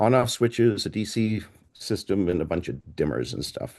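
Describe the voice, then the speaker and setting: The voice has an American accent. Vocal fry runs through it. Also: man. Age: 60s. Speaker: portable planetarium operator. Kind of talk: presentation.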